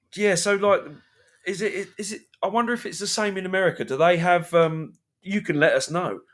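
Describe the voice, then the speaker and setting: Speaking fairly quickly with a British accent, a man uses a high pitch and fairly even intonation. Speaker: podcast co-host. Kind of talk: live-streamed casual chat.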